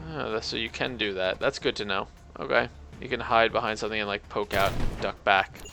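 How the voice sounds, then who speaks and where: A quiet man with a fairly low pitch, fairly quick pace and fairly even intonation, with music in the background. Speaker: game streamer. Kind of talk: live gameplay commentary. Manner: casual, meandering.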